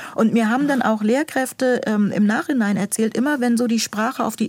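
Using a normal speaking voice, a woman talks with lively intonation at a fairly high pitch. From northern Germany (Buxtehude near Hamburg). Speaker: school administrator and author. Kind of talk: interview.

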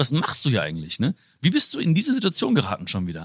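A man's voice with vocal fry, in a dry, close sound with no echo. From Germany, Hagen (Ruhr area). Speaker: author and motivational speaker. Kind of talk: interview conversation.

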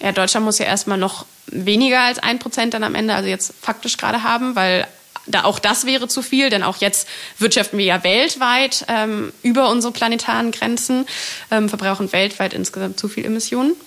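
A woman with a rather high pitch and fairly level intonation talks over clearly audible background noise. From Germany, Berlin. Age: 20s. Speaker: climate activist. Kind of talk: interview.

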